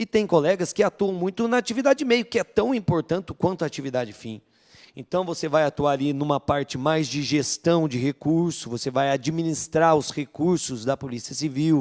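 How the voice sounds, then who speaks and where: A fairly high-pitched man with lively intonation at a moderate pace, in a dry, close sound with no echo. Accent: interior São Paulo. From interior of São Paulo state, Vale do Paraíba (Guaratinguetá). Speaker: police chief. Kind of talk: panel discussion.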